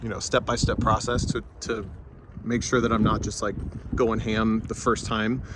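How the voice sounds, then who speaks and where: Over noticeable background noise, the speech runs at a fairly quick pace with fairly even intonation. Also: man. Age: 30s. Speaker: professional race car driver. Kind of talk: casual vlog talk.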